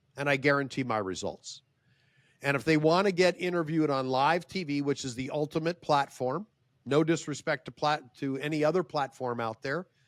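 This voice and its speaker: Dry and close with no echo, a man with a normal speaking voice talks at a fairly quick pace and fairly high pitch. His pitch varies in an ordinary way, and the recording is very clean with a silent background. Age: 60s. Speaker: professional speaker and publicist. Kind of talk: casual interview.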